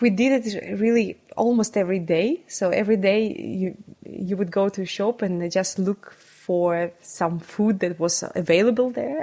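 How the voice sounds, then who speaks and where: Her tone is dark and mellow, and this woman speaks with a Russian accent. She talks at a fairly slow pace with hardly any pauses. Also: medium pitch for a woman, ordinary pitch variation. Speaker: neuroscientist. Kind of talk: interview.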